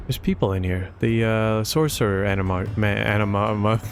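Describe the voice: A passage is read aloud plainly. Intonation stays fairly even.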